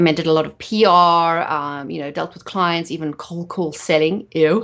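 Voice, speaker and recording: A woman speaks with a South African accent at a fairly low pitch. She moves at a fairly quick pace. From South Africa, Johannesburg. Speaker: photographer and marketing expert. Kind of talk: podcast interview.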